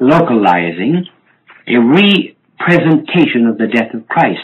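Speaking with an American accent, a man talks at a fairly slow pace with very wide pitch swings. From United States. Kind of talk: religious teaching talk. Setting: restored vinyl recording. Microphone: old recording.

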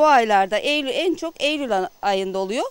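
Using very wide pitch swings, a woman speaks at a fairly slow pace in a dry sound with no echo. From Antalya, Korkuteli (Turkey). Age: 40s. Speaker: village woman making tarhana. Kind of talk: casual explanation while working. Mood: calm explanatory. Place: garden. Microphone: handheld.

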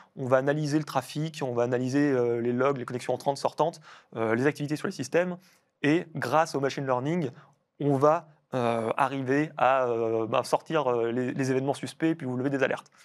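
Against a quiet background, the speaker talks at a fairly quick pace with fairly even intonation. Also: man. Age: 30s. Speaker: cybersecurity researcher; guest. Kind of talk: interview. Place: studio.

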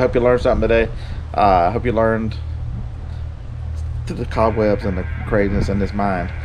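Clear music plays behind a man who talks at a very fast pace with a fairly low pitch. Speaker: reseller vlogger. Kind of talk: casual vlog chat. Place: garden. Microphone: phone near.

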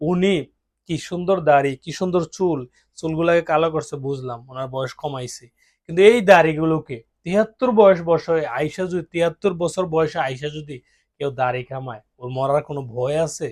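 In a plain, everyday voice, a man with a fairly high pitch shows big swings in loudness, the sound dry and close with no echo over a quiet background. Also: ordinary pitch variation. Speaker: political commentator. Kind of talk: monologue commentary.

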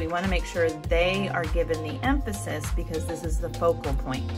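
Clear music in the background behind a woman at a moderate pace. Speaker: art teacher. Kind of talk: tutorial. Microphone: phone near.

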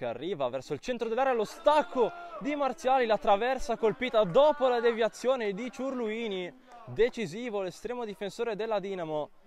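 Noticeable background noise sits under this recording. A man speaks in an animated tone at a high pitch. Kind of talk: sports commentary. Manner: rapid-fire, breathless play-by-play delivery, clipped phrases; animated, rising excitement on near misses and goals.

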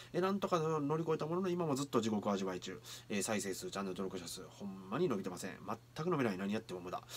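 Over light background noise, a man with a Kansai accent talks at a very fast pace with very wide pitch swings. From Kyoto area, Japan; Japan. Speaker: anime reaction youtuber and street performer; anime reaction youtuber. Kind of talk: anime reaction commentary. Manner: animated. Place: home room. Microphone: webcam.

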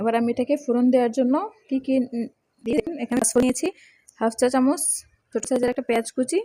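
A soft-spoken woman with a high pitch and a dark, mellow tone keeps her intonation fairly even, recorded dry and close with no echo. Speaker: cooking channel host. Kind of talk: cooking tutorial.

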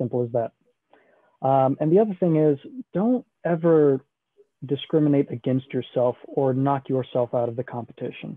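A man with an American accent, fairly high in pitch with ordinary pitch variation, in a dry sound with no echo against a quiet background. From Houston, Texas. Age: 20s. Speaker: military admissions advisor. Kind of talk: information session presentation. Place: home room. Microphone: video call.

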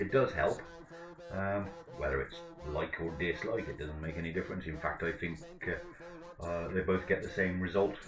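A man with an English accent and a very deep, low voice, at a moderate pace with long, frequent pauses, ordinary pitch variation, and faint music in the background. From England. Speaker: livestream commentator on van auctions. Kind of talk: casual live commentary over an auction stream. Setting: home streaming setup with microphone. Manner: rambling, hesitant, lots of ums and self-corrections. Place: home room.

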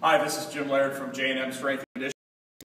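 There is light background noise and audible room echo. A man speaks at a very fast pace. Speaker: strength coach. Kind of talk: tutorial. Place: gym. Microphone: phone near.

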